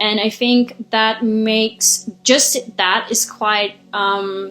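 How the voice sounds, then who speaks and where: A woman talks in a medium pitch. Her intonation is fairly even. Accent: non-native. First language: not English. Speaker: spiritual intuitive healer. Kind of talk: casual monologue vlog. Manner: hesitant, many fillers.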